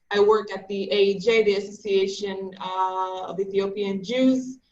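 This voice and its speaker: Over music in the background, a woman speaks at medium pitch and a fairly slow pace with fairly even intonation. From Israel (Kiryat Gat). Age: 30s. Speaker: social activist. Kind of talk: panel discussion.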